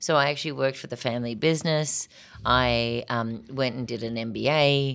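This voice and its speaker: Speaking with an Australian accent, a woman uses a very deep, low pitch at a moderate pace. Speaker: artist. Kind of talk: interview. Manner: energetic.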